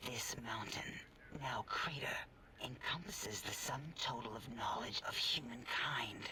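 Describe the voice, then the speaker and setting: A man uses a put-on character voice. He is whispering. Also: moderate pace. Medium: machinima. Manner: hesitant, fussy.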